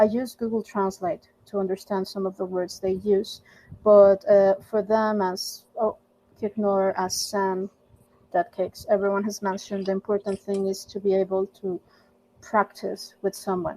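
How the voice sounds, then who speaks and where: In a Spanish accent, a woman with a medium pitch and a dark, mellow tone talks at a moderate pace in a monotone, flat intonation, the sound dry and close with no echo. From Mexico. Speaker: volunteer language mentor. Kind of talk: casual group discussion. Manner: hesitant, many fillers and repeats.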